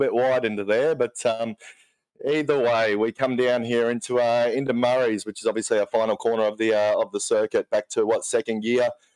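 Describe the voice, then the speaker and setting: In an Australian accent, a man talks at a fairly quick pace. His pitch is medium, and the sound is dry and close with no echo. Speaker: co-commentator. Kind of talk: live commentary.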